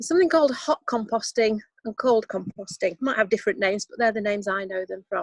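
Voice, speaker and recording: With a dry, close sound and no echo, a woman in a Yorkshire accent speaks at a fairly high pitch with ordinary pitch variation. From Yorkshire, northern England. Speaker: composting workshop leader. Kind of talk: online workshop talk. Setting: outdoors on a video call. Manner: hesitant, many fillers.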